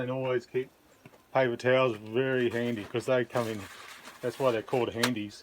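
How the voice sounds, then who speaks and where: Noticeable background noise runs under a man's speech. He talks at a moderate pace and medium pitch with fairly even intonation. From Australia. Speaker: video blogger. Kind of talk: cooking tutorial. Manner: casual, hesitant.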